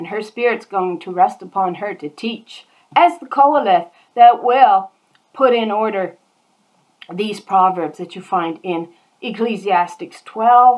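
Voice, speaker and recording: Using a plain, everyday voice, a woman at medium pitch speaks at a fairly slow pace with lively intonation and big swings in loudness. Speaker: bible teacher. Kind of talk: bible study.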